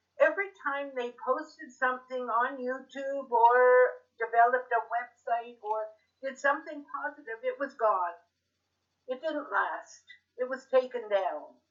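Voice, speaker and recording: Speaking at a fairly slow pace with a Canadian accent, a woman uses a high pitch and ordinary pitch variation. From western Canada. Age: 80s+. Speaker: interviewee, retired senior. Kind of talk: casual interview.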